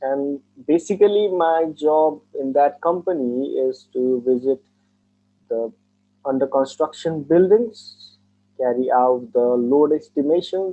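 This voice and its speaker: A man speaks at a very slow pace with a Nepali accent. His pitch is fairly high. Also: ordinary pitch variation. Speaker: engineer taking mock exam. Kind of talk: speaking test interview.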